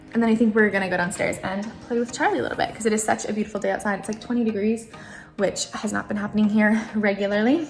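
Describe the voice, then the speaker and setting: A woman talks at a very fast pace and a fairly high pitch. Her intonation is fairly even, and there is noticeable background noise. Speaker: lifestyle vlogger. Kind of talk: casual vlog narration. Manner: hushed, trying to be quiet; casual, filler-heavy speech.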